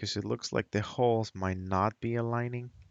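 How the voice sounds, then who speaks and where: Speaking with a non-native accent, a man holds a medium pitch and fairly even intonation. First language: not English. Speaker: hobbyist maker. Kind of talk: tutorial. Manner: halting; casual.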